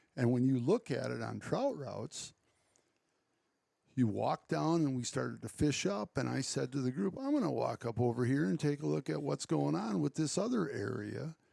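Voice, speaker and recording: A man speaks at a moderate pace with an Upper Midwest accent. The sound is dry and close, without echo. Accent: Upper Midwest (Wisconsin). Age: 60s. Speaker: conservationist and farm owner. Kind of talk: casual chat.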